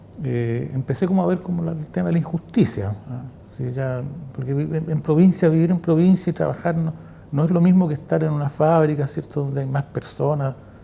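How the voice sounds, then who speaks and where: A man's fairly high-pitched voice at a fairly quick pace, with ordinary pitch variation and noticeable background noise. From central Chile, Quillota. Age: 60s. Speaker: former factory worker and political activist. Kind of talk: oral history testimony interview.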